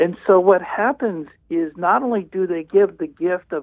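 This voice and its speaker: The speaker has an ordinary speaking voice with ordinary pitch variation. The pace is fairly slow. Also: man. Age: 60s. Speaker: orthopedic surgeon and author. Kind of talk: interview.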